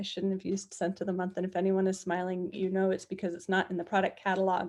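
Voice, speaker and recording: This woman's voice sits at a medium pitch. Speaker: software demo presenter. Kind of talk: live online tutorial. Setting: Facebook live stream. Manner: fast.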